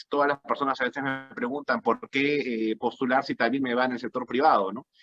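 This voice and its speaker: A man with a Peruvian accent speaks in a fairly high pitch. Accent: Peruvian Spanish (Lima). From Peru, Lima. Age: 30s. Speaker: political candidate. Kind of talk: political debate. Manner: halting.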